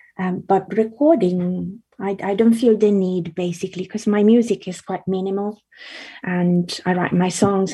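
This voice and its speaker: The voice is dark and mellow, somewhat breathy, with fairly even intonation at a moderate pace. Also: woman. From Italy. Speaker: singer-songwriter and illustrator. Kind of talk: casual interview. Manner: halting, many fillers.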